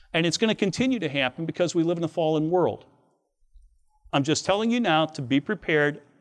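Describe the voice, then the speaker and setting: Here a man talks in a normal speaking voice, pitched fairly high with lively intonation. Behind him the background is quiet. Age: 60s. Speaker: Bible teacher. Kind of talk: devotional lecture. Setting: outdoors.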